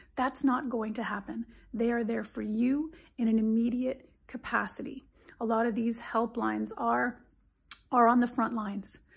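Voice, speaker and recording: Against a quiet background, a woman with a fairly high pitch speaks at a moderate pace with fairly even intonation. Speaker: psychologist. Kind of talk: direct-to-camera advice video. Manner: emphatic. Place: home room. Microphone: phone near.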